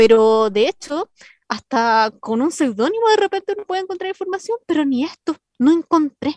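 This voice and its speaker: A woman's high-pitched voice with a Chilean accent and very wide pitch swings. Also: moderate pace, dry, close sound with no echo. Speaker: radio host. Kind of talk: casual radio presenting. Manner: animated.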